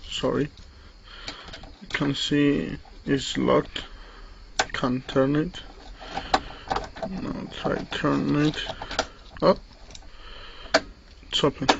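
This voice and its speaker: A speaker with a non-native accent talks at a very slow pace with long, frequent pauses. Noticeable background noise runs underneath. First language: not English. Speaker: hobbyist lockpicker demonstrating tools. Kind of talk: tutorial. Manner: halting.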